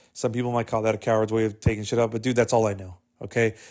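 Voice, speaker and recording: An animated man speaks with an American accent. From Texas. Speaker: solo podcast host. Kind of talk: casual solo monologue.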